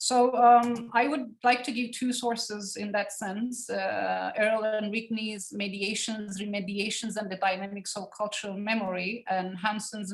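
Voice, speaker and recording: Noticeable background noise is present. A woman speaks at a fairly slow pace with fairly even intonation. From Cyprus (Turkish Cypriot community). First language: Turkish. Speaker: academic researcher. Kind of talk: academic seminar lecture. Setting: online seminar. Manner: halting, many fillers.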